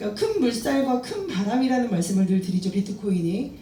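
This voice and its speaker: With noticeable background noise and audible room echo around her, a woman speaks fairly quickly. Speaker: crypto trading instructor. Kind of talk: lecture.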